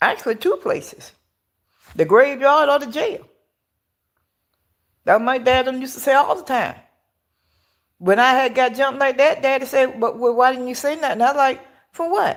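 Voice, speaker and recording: A woman speaks in a high pitch with an animated tone, ordinary pitch variation, a moderate pace and long, frequent pauses. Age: 60s. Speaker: live-stream commentator. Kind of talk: casual live chat. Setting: outdoors. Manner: halting, repetitive.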